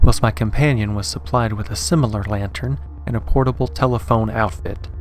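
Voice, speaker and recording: Over music in the background, a man talks at a moderate pace and a fairly low pitch, the sound dry with no echo. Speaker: story narrator. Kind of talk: dramatic story narration.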